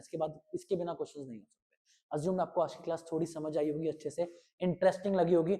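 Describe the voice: Talking fast, a man with a fairly high pitch keeps a fairly even intonation in a dark, mellow tone.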